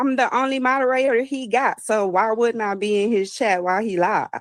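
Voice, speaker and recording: In a Texas accent, a woman speaks at a high pitch and a moderate pace. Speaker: chat moderator. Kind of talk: casual chat.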